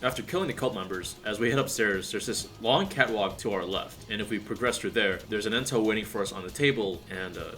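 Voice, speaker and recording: With music in the background, a man speaks very fast at medium pitch with ordinary pitch variation. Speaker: video game reviewer. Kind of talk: video essay narration.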